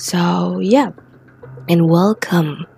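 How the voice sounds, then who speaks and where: Noticeable background noise runs under the speech. The intonation is lively. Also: woman. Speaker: podcast host. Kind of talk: casual chat. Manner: halting.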